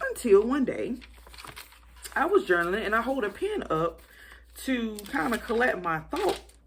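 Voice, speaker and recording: A woman's high-pitched voice, animated in tone, with very wide pitch swings. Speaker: Bible journaling YouTuber. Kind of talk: casual vlog rant.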